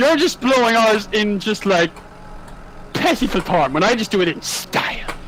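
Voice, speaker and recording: A man with a Cork accent speaks at a moderate pace in a high pitch, with an animated tone, very wide pitch swings and very even loudness. Noticeable background noise is present. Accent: Cork Irish. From Ireland, Cork. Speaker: farmer. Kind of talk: casual chat.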